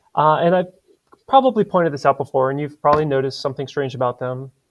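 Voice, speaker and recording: With a Spanish accent, a man talks at a fairly high pitch in a dry, close recording with no echo. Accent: non-native Spanish. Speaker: Spanish teacher. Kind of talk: lecture. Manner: casual with many fillers.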